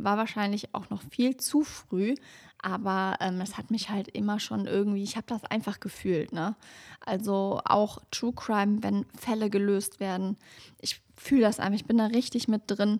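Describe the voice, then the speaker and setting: Using a normal speaking voice, a woman talks at medium pitch with fairly even intonation. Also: moderate pace. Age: 30s. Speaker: true crime podcaster. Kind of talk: casual chat; scripted narration.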